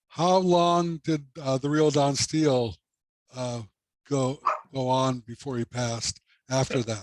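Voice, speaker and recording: A man's medium-pitched voice with ordinary pitch variation, very slow pace and long, frequent pauses, in a dry, close sound with no echo. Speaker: radio show host, interviewer. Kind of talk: interview questions.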